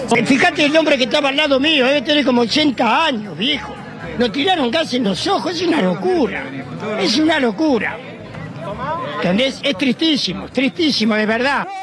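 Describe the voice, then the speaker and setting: Music plays in the background. The speaker keeps a moderate pace. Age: 70s. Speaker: protester. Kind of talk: street interview.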